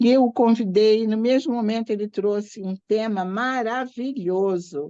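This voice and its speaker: A woman with a normal speaking voice speaks at a fairly high pitch with ordinary pitch variation, in a dry, close sound with no echo. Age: 60s. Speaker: church training host and Sunday school teacher. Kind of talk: event introduction with personal testimony.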